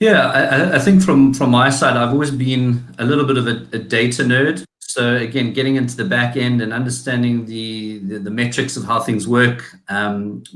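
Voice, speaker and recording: Ordinary pitch variation in a South African accent, with hardly any pauses and audible room echo. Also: man, medium pitch for a man, moderate pace. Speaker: digital marketing agency founder. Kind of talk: interview. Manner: hesitant, many fillers.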